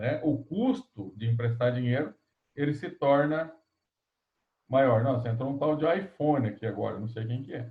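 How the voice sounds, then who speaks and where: At a moderate pace, a man speaks with a medium pitch, ordinary pitch variation, a somewhat breathy quality and long, frequent pauses. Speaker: economics lecturer. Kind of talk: online lecture. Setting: video call class.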